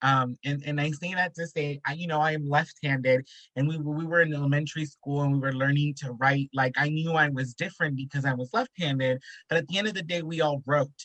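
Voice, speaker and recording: A man with an American accent talks at a fairly quick pace in a fairly high pitch, his tone bright and sharp and his intonation fairly even, in a dry, close sound with no echo. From South Central Los Angeles. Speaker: social worker and artist. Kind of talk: panel discussion.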